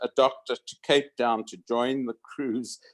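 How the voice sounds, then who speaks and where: The speech, in a southern African accent, moves at a very slow pace. The recording is very clean, with a silent background. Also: man. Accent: southern African, unrecognized by Americans. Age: 70s. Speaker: retired radiologist. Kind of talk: reunion speech. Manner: halting.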